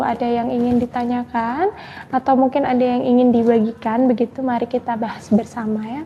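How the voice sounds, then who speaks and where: A soft-spoken woman's high, monotone, flat voice at a fairly quick pace, over noticeable background noise. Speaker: Islamic spiritual advisor. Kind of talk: live stream Q&A religious advice.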